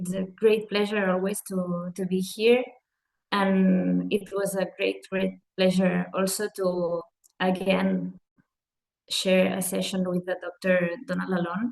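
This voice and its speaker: With a non-native accent, the speaker goes at a very slow pace. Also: woman. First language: Spanish or Catalan. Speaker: hand therapist. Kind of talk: webinar presentation.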